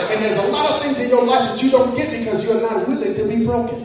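A man talks at a very fast pace with an extremely high pitch and an animated tone. Noticeable background noise is present. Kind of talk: sermon. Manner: animated, call-and-response preaching, urging the congregation to shout amen; fervent, rhythmic, repeating phrases for emphasis.

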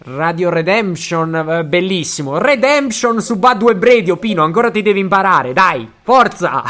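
Over noticeable background noise, a man talks in a high pitch with lively intonation. His pace is fairly slow, with hardly any pauses. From Basilicata, southern Italy. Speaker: podcast host. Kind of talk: casual chat. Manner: animated.

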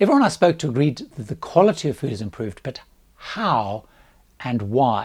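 A somewhat breathy male voice on a very clean recording with a silent background. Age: 60s. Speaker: cruise travel vlogger. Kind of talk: scripted narration.

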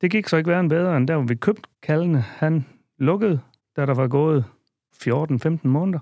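A man with a fairly high pitch speaks with ordinary pitch variation, very even loudness and a dark, mellow tone, in a dry, close recording with no echo that is very clean, with a silent background. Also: moderate pace. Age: 50s. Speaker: dairy farmer. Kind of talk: casual interview. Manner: halting.

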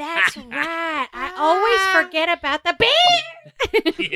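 Extremely high pitch and a very slow pace in a put-on character voice. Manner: cocky, loud.

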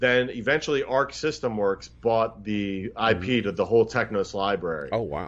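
With an American accent, a man speaks in a normal speaking voice at a moderate pace. The background is quiet. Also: medium pitch for a man, lively intonation. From US Northeast. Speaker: video game developer. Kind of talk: casual interview.

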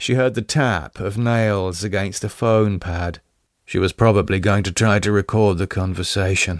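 A man with a normal speaking voice at a fairly low pitch, at a fairly slow pace, in a very clean recording with a silent background. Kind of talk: dramatic fiction narration, gothic vampire story read aloud. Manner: hushed, suspenseful, gravely paced storytelling with theatrical intensity.

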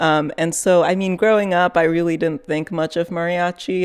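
On a very clean recording with a silent background, a woman with a fairly low pitch speaks at a moderate pace with fairly even intonation. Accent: Californian. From Fresno, California. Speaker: podcast reporter. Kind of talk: casual chat.

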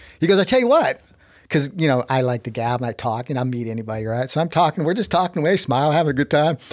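A man with an American accent speaks at a very fast pace and a fairly high pitch. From Texas. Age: 60s. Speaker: inventor and rock climber. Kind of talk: casual storytelling in interview.

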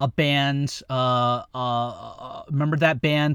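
On a very clean recording with a silent background, a man with a fairly high pitch and fairly even intonation speaks at a very slow pace. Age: 50s. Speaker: podcast host. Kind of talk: casual chat. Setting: studio.

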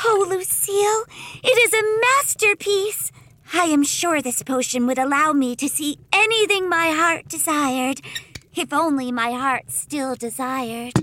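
In a put-on character voice that sounds female, the speaker talks at a moderate pace with a high pitch for a woman. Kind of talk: comic audio drama. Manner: bubbly, excitable, sweetly macabre.

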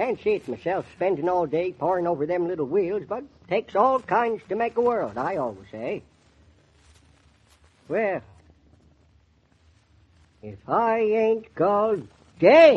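A man's put-on character voice, high-pitched with a slightly husky edge, big pitch swings, a slow pace, and long, frequent pauses.

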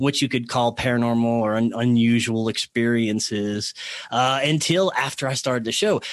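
With a Southern US accent, a man talks at a moderate pace and a medium pitch. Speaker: podcast guest. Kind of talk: casual interview chat. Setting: radio broadcast.

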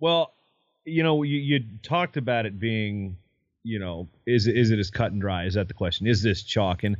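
He has a normal speaking voice with a fairly low pitch. The man keeps a moderate pace and lively intonation. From US state bordering Tennessee. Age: 30s. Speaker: wrestling podcast host and historian. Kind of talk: casual sports chat.

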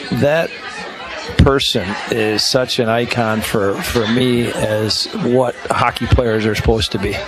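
A man speaks at medium pitch with fairly even intonation. Audible room echo and crowd noise fill the background. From Chicago, US Midwest. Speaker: college hockey coach. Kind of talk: radio interview. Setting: live broadcast at a restaurant.

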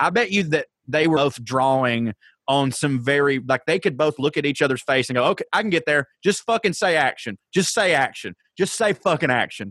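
Recorded dry and close with no echo, a man speaks in a normal speaking voice with an American accent. His pitch is fairly high, his intonation lively, his pace fairly quick and his loudness very even. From US South, Georgia. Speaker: comedian, podcast co-host. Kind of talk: casual chat.

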